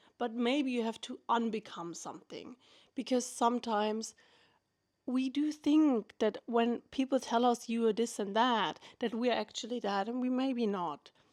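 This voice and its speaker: On a very clean recording with a silent background, a woman with a non-native accent speaks at a moderate pace in a fairly high voice with ordinary pitch variation. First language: not English. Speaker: vlogger. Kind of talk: casual monologue. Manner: unscripted, halting at times.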